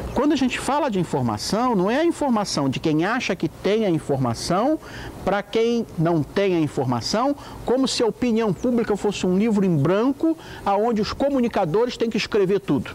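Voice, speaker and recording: Over light background noise, a man talks at a moderate pace in a high voice with very wide pitch swings. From Porto Alegre, Rio Grande do Sul, Brazil. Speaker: environmental activist and editor. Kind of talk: interview answer. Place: garden.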